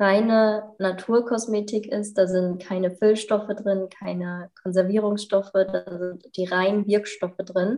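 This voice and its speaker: Her medium-pitched voice stays monotone, with flat intonation throughout, as this woman talks. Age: 30s. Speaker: yoga teacher and natural cosmetics sales partner. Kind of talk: casual interview.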